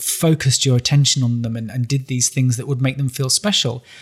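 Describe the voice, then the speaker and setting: Somewhat breathy and medium in pitch, a man talks at a fairly quick pace with fairly even intonation. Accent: northern English. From northern England. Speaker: writer and columnist. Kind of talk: interview.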